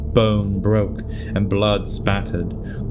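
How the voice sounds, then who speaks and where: A man speaks with music playing in the background. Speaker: voice actor. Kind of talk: story narration.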